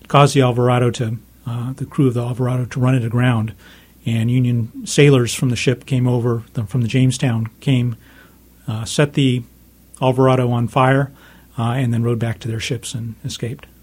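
Somewhat breathy, a man speaks at a fairly quick pace and medium pitch in a monotone, flat delivery. His loudness swings widely. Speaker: author of a history book. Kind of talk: interview. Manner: uses many fillers and repetitions.

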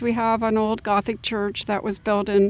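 A woman with an American accent has a fairly high pitch and talks at a fairly slow pace. It is an unremarkable speaking voice. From Florida, Orlando area. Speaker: local heritage association director. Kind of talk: interview.

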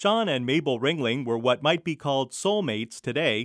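A man with a normal speaking voice, lively intonation and a fairly quick pace. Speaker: radio host. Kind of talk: scripted narration.

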